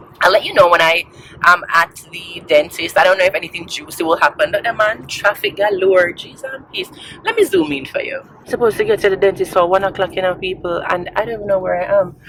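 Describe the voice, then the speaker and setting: Over noticeable background noise, a woman in a Jamaican accent speaks at a very fast pace and medium pitch, her loudness swinging widely. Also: ordinary pitch variation. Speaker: vlogger. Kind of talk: casual vlog talk. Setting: in a car. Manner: animated.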